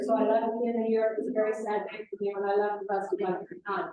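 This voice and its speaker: A woman with a Midwestern US accent, fairly high in pitch, at a very fast pace. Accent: US Midwest. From Kansas. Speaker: author. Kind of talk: author talk.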